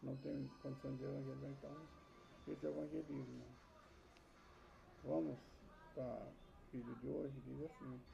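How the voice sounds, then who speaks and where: Soft-spoken, a man talks at a moderate pace with long, frequent pauses, and audible room echo. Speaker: Bible teacher. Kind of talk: personal testimony. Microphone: added mic, still too quiet.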